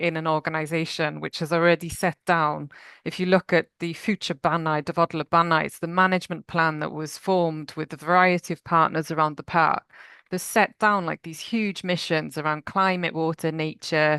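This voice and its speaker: An ordinary speaking voice moves at a moderate pace with fairly even intonation. The sound is dry and close with no echo, against a quiet background. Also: woman. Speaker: nature finance professional at a national park. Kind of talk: conference presentation.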